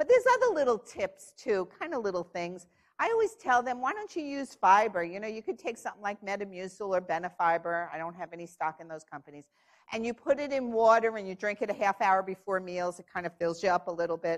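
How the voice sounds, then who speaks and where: A woman's animated, medium-pitched voice in a New York accent, very fast, with big swings in loudness. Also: lively intonation, quiet background. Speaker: diabetes clinician speaker. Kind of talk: conference panel talk.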